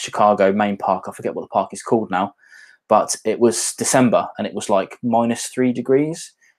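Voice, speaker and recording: Someone with a British accent speaks at a moderate pace with ordinary pitch variation. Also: man, medium pitch for a man. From English Midlands, near Birmingham. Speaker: whisky YouTuber. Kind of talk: casual livestream chat. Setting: livestream at home on laptop.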